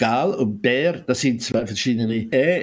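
In a very clean recording with a silent background, a man with a Zurich Oberland accent speaks at a very slow pace. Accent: Zurich Oberland Swiss German. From Zurich Oberland, Switzerland. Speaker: author. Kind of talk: interview.

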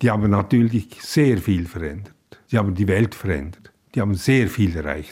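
Somewhat breathy, a man speaks at a fairly low pitch and moderate pace with lively intonation. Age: 80s+. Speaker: writer. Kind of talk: interview. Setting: kitchen at home.

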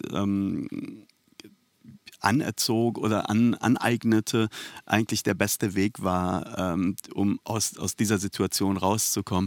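Speaking at a very slow pace with fairly even intonation, a man with a Persian accent has a fairly low pitch, recorded in a dry, close sound with no echo on a very clean recording with a silent background. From Iran, raised in Germany from age 9-10. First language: Persian (speaking German). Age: 40s. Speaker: author. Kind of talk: interview. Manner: halting, many fillers.

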